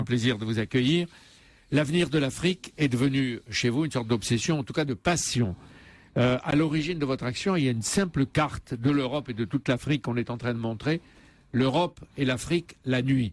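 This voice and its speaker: Recorded very cleanly against a silent background, a man with a plain, everyday voice speaks fairly quickly at a medium pitch with ordinary pitch variation. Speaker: radio interviewer. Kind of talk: radio interview questions.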